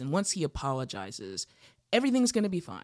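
A woman talks in an American accent. The recording is very clean, with a silent background. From Utah. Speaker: actress. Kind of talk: casual chat.

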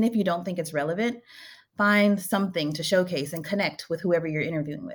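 On a very clean recording with a silent background, a woman with a fairly low pitch and a somewhat breathy voice talks at a very fast pace with ordinary pitch variation. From Louisiana. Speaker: nonprofit program director. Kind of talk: interview.

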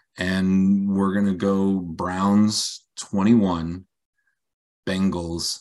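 A very slow, flat, monotone male voice with a very deep, low pitch. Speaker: co-host, football fan analyst. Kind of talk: casual sports chat.

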